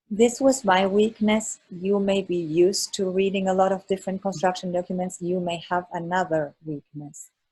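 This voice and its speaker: A woman with a non-native accent speaks at a moderate pace with hardly any pauses, using fairly even intonation, a medium pitch, and a dark, mellow, somewhat breathy tone. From Germany. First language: not English. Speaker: architect, exam mentor. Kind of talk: presentation to online study group.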